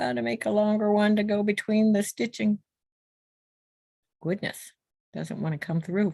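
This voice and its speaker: A woman speaks at a moderate pace with medium pitch, ordinary pitch variation, and long, frequent pauses. Her tone is dark, mellow and somewhat breathy, with a dry, close sound, no echo and a quiet background. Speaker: guest quilter. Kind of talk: casual chat while stitching. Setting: video call.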